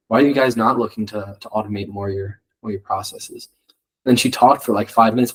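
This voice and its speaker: At a very fast pace, a man speaks with an American accent. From New York. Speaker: student club founder. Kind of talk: podcast interview. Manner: casual, many fillers.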